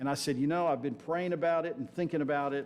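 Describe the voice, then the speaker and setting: A man with an American accent is heard with audible room echo. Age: 70s. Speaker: guest preacher, retired sports ministry worker. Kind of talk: sermon. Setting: church with congregation.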